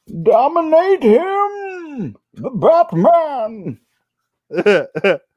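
The voice is a put-on character voice. It sits at a high pitch. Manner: menacing, theatrical.

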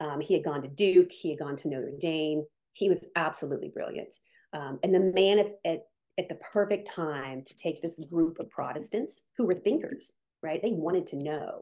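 A woman with a Midwestern American accent talks at a moderate pace in a dark, mellow tone. Her loudness swings widely. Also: ordinary pitch variation. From US Midwest, Canton, Ohio. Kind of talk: testimony.

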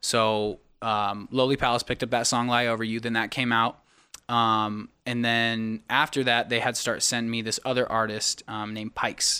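A man with an American accent, medium pitch, a bright, sharp tone, monotone, flat intonation, and a moderate pace, on a very clean recording with a silent background. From Sacramento, California. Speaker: singer-songwriter and producer. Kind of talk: casual chat. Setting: podcast live stream.

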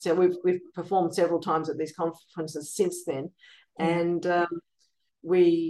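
A woman's fairly low voice has a dark, mellow tone. She speaks at a moderate pace with monotone, flat intonation. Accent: Australian. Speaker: composer and piano teacher. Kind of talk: interview. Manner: halting with many fillers.

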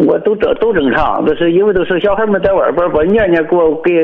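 A high-voiced man talks fairly quickly, with noticeable background noise in the recording. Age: 60s. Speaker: farmer calling in. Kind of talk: phone-in conversation. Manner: halting.

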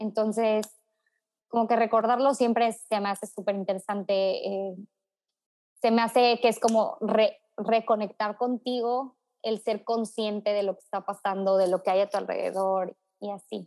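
Fairly high in pitch, a woman talks at a fairly slow pace with fairly even intonation. It is an unremarkable speaking voice. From Mexico, Tuxpan, Veracruz. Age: 20s. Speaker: social entrepreneur and environmentalist. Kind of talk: casual chat.

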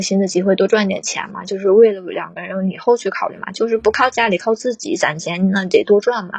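The voice is somewhat breathy, with fairly even intonation. The pace is fairly quick. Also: woman. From Northeast China. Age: 20s. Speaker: caller, primary school teacher. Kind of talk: emotional advice call-in.

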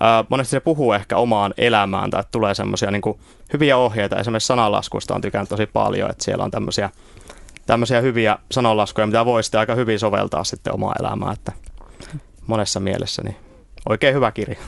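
Speaking very fast, a man holds a fairly even intonation. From Finland, Oulu. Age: 20s. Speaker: theology student. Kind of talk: radio interview. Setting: radio studio. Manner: halting, many fillers.

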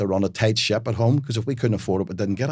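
A man speaks with a Belfast accent. The recording is very clean, with a silent background. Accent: Belfast Northern Irish. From Northern Ireland, Belfast. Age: 40s. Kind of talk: interview conversation.

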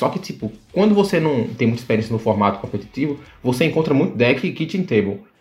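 A man talks at a fairly quick pace, his pitch swinging very widely. Music plays in the background. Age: 20s. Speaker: card game tournament winner. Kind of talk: casual chat.

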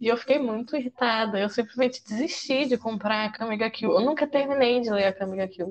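With an ordinary speaking voice, a woman talks at a fairly quick pace and fairly high pitch, with ordinary pitch variation and hardly any pauses. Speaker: manga columnist and psychology student. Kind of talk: casual chat.

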